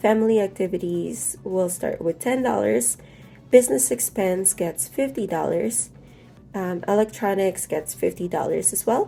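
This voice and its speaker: A woman at medium pitch with very wide pitch swings, moderate pace, and music in the background. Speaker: budgeting YouTuber. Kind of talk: casual talk to camera.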